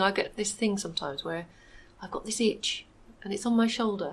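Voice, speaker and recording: A woman speaks at a very fast pace. Her voice is medium-pitched and somewhat breathy. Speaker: local business owner. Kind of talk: radio interview.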